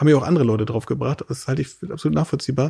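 Somewhat breathy, a man rushes along at a very fast pace. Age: 30s. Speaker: state politician. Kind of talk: casual interview. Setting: host's living room.

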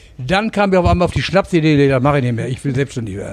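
A man's fairly high voice carries lively intonation, with noticeable background noise behind it. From Lower Saxony, Germany. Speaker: singer and pub owner. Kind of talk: casual interview. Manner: halting.

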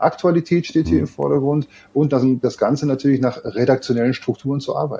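At a very fast pace, a man with a fairly high pitch, vocal fry and a dark, mellow tone speaks. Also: ordinary pitch variation. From Ruhr area, Germany (Gelsenkirchen). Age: 50s. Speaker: tech company co-founder and sales lead. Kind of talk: interview.

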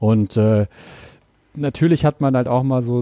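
In a dry, close sound with no echo and a quiet background, a man speaks at a moderate pace and medium pitch, his tone dark and mellow with fairly even intonation. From Ruhr area, Germany. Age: 40s. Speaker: TV and radio presenter. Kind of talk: casual chat.

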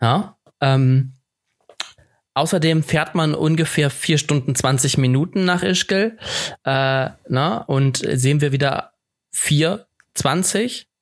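A man's fairly high voice at a very slow pace, with very even loudness, ordinary pitch variation and long, frequent pauses. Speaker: podcast co-host. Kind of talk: casual chat.

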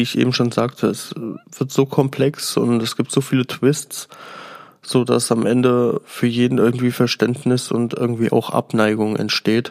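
A man of medium pitch talks fairly slowly in a flat, monotone intonation. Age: 20s. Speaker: podcast host. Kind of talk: solo review podcast.

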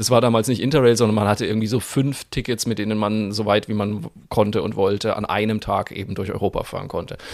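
A man's fairly low voice at a very fast pace, hardly any pauses, and fairly even intonation. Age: 40s. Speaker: podcast co-host. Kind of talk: casual chat.

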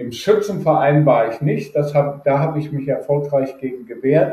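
A man speaks in a somewhat breathy voice with a fairly high pitch. His pace is moderate and his pitch variation ordinary. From Germany, Rhineland (Düsseldorf, Neuss). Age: 60s. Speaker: data protection expert. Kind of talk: interview.

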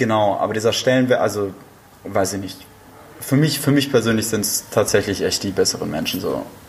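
At a fairly quick pace, a man speaks with medium pitch and ordinary pitch variation. Noticeable background noise runs behind him. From northern Germany, Flensburg. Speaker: podcast guest, host's friend. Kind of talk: casual chat.

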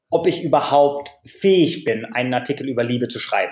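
The man's pitch leaps up and down dramatically while he keeps an even, moderate speed. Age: 30s. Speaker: author and blogger. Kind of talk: interview. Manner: frequent repetitions and hesitations.

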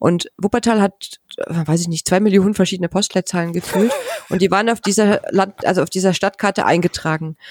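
With an unremarkable speaking voice, a woman talks at a fairly quick pace and medium pitch, her intonation fairly even and the sound dry and close with no echo. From former East Germany. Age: 40s. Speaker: pediatric nurse. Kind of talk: casual chat.

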